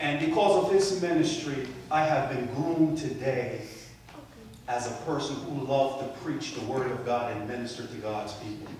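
A man talks at a moderate pace with ordinary pitch variation. There is noticeable background noise and strong room echo. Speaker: preacher. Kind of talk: sermon. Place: church.

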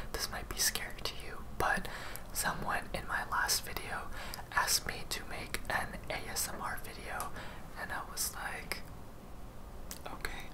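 A man talks with long, frequent pauses. Background noise is noticeable. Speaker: ASMR / vlog content creator. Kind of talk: casual talk to camera. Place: home room.

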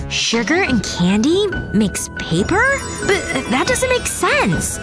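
Over music in the background, the speech moves at a very slow pace in a dry sound with no echo. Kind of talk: acted comedy dialogue.

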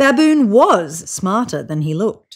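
The speech moves at a slow pace with big pitch swings. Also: woman, medium pitch for a woman.

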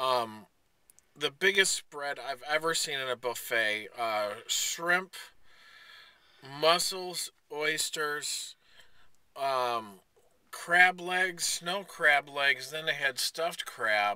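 The tone is bright and sharp yet also clear and smooth. Intonation is lively at a very slow pace. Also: man, fairly high pitch for a man.

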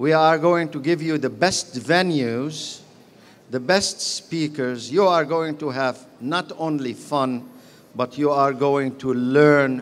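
This man talks at a very slow pace. His pitch varies an ordinary amount. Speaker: convention host speaker. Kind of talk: formal speech to an audience. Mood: warm, proud, upbeat. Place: hall. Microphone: podium.

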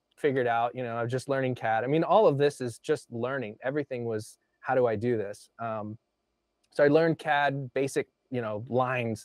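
The sound is dry with no echo and the background quiet as a man speaks at a fairly quick pace with fairly even intonation. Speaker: remote guest. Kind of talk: interview answer. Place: home room. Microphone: lapel.

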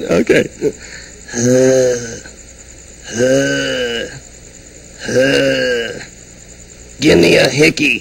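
Over clear background noise, a man in a put-on character voice talks at a very slow pace with long, frequent pauses. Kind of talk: comedy stage act.

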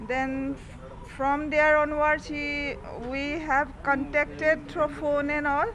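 The pace is very slow. Light background noise runs underneath. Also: woman. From Assam, India. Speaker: fraud victim. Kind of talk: press statement. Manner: halting. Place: office. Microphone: handheld.

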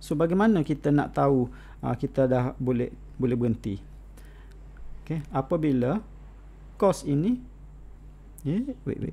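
His speech moves at a fairly slow pace. The man pauses often and at length. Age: 40s. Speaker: college lecturer. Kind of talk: online lecture.

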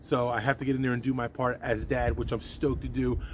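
A man talks at a very fast pace with a dry sound and no echo, over noticeable background noise. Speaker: tractor owner vlogger. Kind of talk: casual vlog chat. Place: farm machine.

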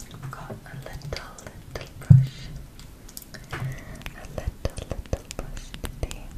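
The woman's speech is a whisper. It unfolds at a very slow pace. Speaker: asmr creator. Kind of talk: soft-spoken personal chat. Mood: subdued, talks about depression. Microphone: studio mic.

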